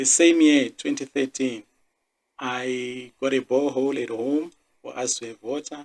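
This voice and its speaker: A man at a medium pitch. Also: dry, close sound with no echo. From South Africa, Limpopo. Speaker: podcast host, engineer. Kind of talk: personal monologue podcast.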